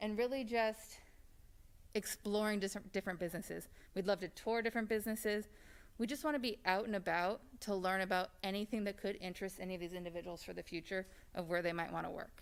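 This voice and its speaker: A woman speaks very fast at a medium pitch. Her pitch varies in an ordinary way. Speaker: special education teacher. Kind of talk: presentation. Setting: board meeting.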